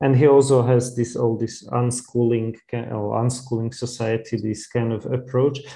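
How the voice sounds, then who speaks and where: A man with a Slovak accent speaks at medium pitch and a moderate pace, his dark, mellow tone carried on a monotone, flat intonation. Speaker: interviewer, educator. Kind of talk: interview. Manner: halting, many fillers.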